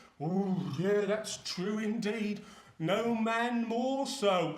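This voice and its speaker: A man's put-on character voice, high-pitched and very slow, with audible echo. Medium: short film. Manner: sly, chuckling.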